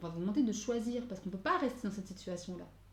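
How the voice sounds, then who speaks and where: A woman speaks at a very fast pace and a medium pitch. Her voice is somewhat breathy. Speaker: tarot card reader. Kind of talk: tarot guidance reading. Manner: hesitant, many fillers.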